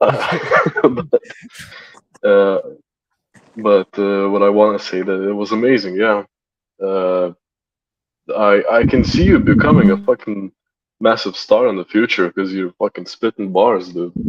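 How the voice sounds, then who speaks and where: In a dry, close sound with no echo, a man with a fairly low pitch talks at a fairly slow pace, with ordinary pitch variation and long, frequent pauses. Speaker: guest in online cypher session. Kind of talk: casual chat. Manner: halting, tripping over words.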